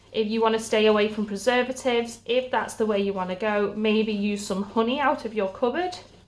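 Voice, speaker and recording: At a moderate pace, a woman speaks with a British accent at a fairly high pitch. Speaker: stay-at-home mum vlogger and podcast host. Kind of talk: cooking tutorial.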